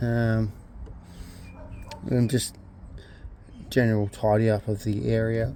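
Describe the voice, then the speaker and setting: The speaker talks in a flat monotone at a fairly slow pace, leaving long, frequent pauses. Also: man, medium pitch for a man. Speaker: car mechanic vlogger. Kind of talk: tutorial. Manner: soft-spoken; halting.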